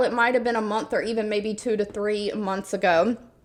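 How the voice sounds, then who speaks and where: A woman talks in a Southern US accent. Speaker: YouTuber sharing remote job listings. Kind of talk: casual video monologue.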